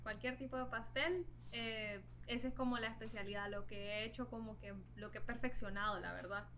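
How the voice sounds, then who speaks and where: A woman speaks at a moderate pace amid noticeable background noise and audible room echo. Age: 20s. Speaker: vegan cook. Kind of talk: casual interview.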